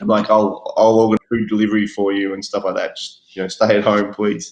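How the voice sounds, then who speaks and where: A man speaks fairly quickly in a fairly low pitch with an Australian accent. His intonation is monotone and flat. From Australia, Melbourne. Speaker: guest. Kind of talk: casual chat.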